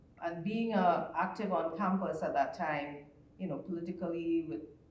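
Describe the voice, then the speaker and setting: A woman with a fairly low pitch talks at a moderate pace with ordinary pitch variation, with audible room echo and noticeable background noise. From Trinidad and Tobago. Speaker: panelist. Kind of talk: panel discussion.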